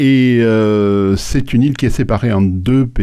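The voice carries a dark, mellow tone with fairly even intonation. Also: man. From Haiti, Port-au-Prince. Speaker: retired research engineer. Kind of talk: radio interview. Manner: halting.

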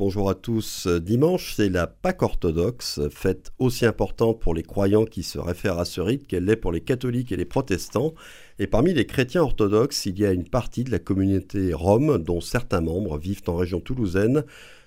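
On a very clean recording with a silent background, a man with a dark, mellow tone and fairly low pitch talks at a moderate pace with lively intonation. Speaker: radio host. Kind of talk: radio interview. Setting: studio.

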